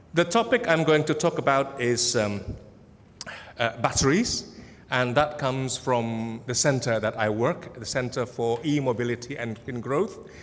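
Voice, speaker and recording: Using ordinary pitch variation, a man with an Indonesian accent talks at a moderate pace and a medium pitch. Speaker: academic researcher. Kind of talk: conference presentation. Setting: conference hall with audience. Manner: casual, humorous, with many fillers.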